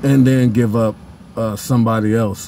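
At a fairly slow pace, a man with an American accent speaks at a medium pitch. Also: dry sound with no echo. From Pasadena, California. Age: 40s. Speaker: YouTuber and musician. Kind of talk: casual sports monologue. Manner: animated. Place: car. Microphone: phone near.

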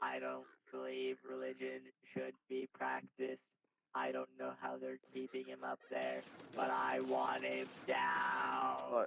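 A man's raspy, put-on character voice, very deep and low in pitch, at a fairly slow pace. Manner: flat, robotic, condescending.

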